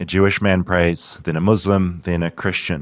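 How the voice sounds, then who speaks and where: A man's very deep, low voice in a New Zealand accent, fairly slow, on a very clean recording with a silent background. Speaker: podcast host, journalist. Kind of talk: narrated documentary.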